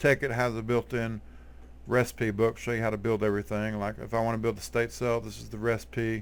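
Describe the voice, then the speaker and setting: A man talks with a strong Texas accent at a moderate pace. His loudness swings a lot. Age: 40s. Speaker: gaming YouTuber. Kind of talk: tutorial. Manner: casual, halting with fillers.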